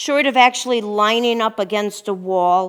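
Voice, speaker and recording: A woman's normal speaking voice, fairly high in pitch with ordinary pitch variation, in a very clean recording with a silent background. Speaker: pilates instructor. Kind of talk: guided exercise class. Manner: calm, instructive counting.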